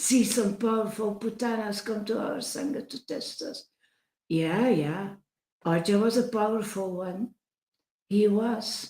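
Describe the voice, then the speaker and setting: Someone with a Dutch accent speaks at a fairly slow pace. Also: woman, fairly high pitch for a woman, ordinary pitch variation. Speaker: spiritual devotee livestreamer. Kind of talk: livestream talk reading chat messages. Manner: halting, many fillers and restarts; emphatic.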